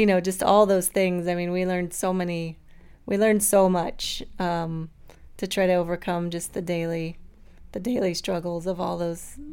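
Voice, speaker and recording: A woman talks at a moderate pace in a plain, everyday voice, fairly low in pitch with fairly even intonation, on a very clean recording with a silent background. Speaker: mother sharing breastfeeding story. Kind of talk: interview testimony.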